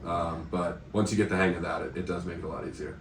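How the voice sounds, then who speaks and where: A man with an American accent talks in a very deep, low voice that is somewhat breathy, with audible room echo around him. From United States. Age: 20s. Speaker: English teacher and volunteer. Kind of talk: casual interview. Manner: hesitant, many fillers.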